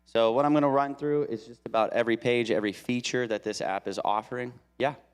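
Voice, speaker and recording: A man speaking at a very fast pace with fairly even intonation, music in the background. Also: medium pitch for a man. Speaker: church deacon. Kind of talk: tutorial. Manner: hesitant, many fillers.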